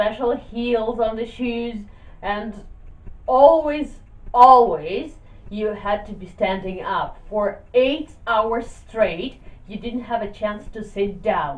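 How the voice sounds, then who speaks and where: At a very slow pace, a woman with a fairly high pitch and ordinary pitch variation speaks amid audible room echo, her loudness swinging widely. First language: Russian. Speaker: YouTuber. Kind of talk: casual vlog talk.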